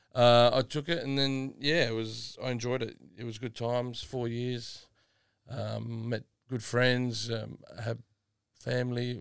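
With an Australian accent, this man speaks at a fairly slow pace in a medium pitch, his intonation monotone and flat. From South Australia, Adelaide northern suburbs. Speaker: retired footballer. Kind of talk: casual chat. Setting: studio.

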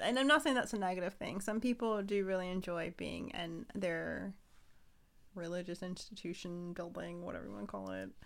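On a very clean recording with a silent background, a woman speaks at a moderate pace with a medium pitch and ordinary pitch variation. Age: 30s. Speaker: podcast co-host. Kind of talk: casual chat.

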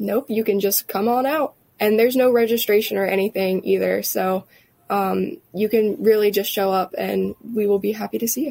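A woman with an unremarkable speaking voice talks at a moderate pace. Her pitch is medium, with ordinary variation. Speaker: chamber of commerce staffer. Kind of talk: interview. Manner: casual, filler-heavy.

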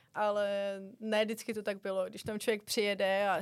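In a monotone, flat intonation, a woman talks at a medium pitch on a very clean recording with a silent background. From Czech Republic. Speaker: gymnastics coach abroad. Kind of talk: interview.

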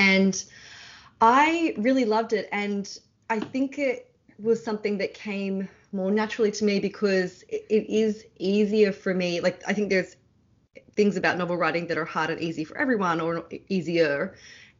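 This woman has a medium pitch and ordinary pitch variation. Her pace is moderate. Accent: Australian. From Australia. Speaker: novelist. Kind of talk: interview.

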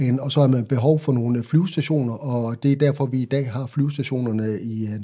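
A man's somewhat breathy voice with a dark, mellow tone, medium pitch and ordinary pitch variation, at a fairly slow pace against a quiet background. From central Jutland, Denmark. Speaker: military nurse. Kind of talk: interview. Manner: halting, repeats words.

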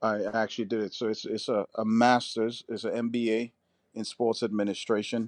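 With an American accent, a man speaks in a monotone at a medium pitch and moderate pace, his flat intonation caught in a dry, close sound with no echo against a quiet background. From New York City. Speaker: sports coach. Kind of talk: interview. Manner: halting.

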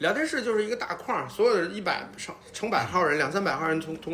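A man rattles off his words at a very fast pace over noticeable background noise. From Northeast China, Changchun. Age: 50s. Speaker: podcast guest. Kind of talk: casual chat.

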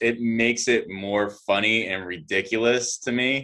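On a very clean recording with a silent background, a man speaks in a normal speaking voice at medium pitch with ordinary pitch variation. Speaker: podcast co-host. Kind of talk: casual chat. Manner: opinionated, rambling.

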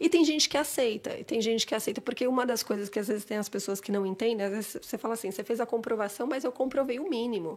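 A woman's very fast, fairly high-pitched voice with hardly any pauses and ordinary pitch variation. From São Paulo city, Brazil (Santana, North Zone). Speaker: immigration consultant. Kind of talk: casual interview.

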